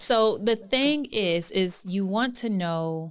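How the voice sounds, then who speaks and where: The speaker is a woman. The recording is very clean, and the background is silent. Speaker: therapist. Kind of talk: casual interview chat. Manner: calm, relaxed.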